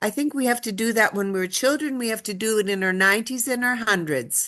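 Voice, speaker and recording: With a bright, sharp tone, a woman speaks at a fairly quick pace and ordinary pitch variation. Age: 80s+. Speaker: stroke survivor and community organizer. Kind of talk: interview.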